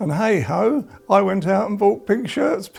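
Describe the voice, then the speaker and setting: A man with an English accent talks at a very slow pace against noticeable background noise. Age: 70s. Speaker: cancer patient. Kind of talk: documentary interview.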